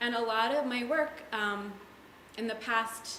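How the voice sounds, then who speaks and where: With an American accent, the voice moves at a moderate pace with ordinary pitch variation. Noticeable background noise and audible room echo come through. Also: woman. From mostly US, early childhood in Jerusalem. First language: Hebrew. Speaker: artist and educator. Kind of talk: panel talk. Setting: gallery with audience. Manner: casual, with fillers.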